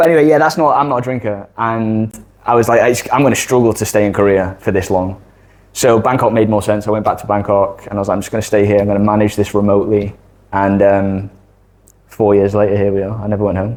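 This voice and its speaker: A man with a Mancunian accent talks at a very fast pace. His pitch is fairly low and his intonation fairly even. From northern England, Manchester. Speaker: digital creator and former accountant. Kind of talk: casual interview chat.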